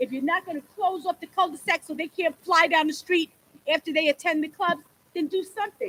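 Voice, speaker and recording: A woman's extremely high, bright and sharp voice, raised and projected, with ordinary pitch variation, a fairly quick pace and a dry, close sound with no echo. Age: 60s. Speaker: local resident speaking at public hearing. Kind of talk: public comment. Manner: animated.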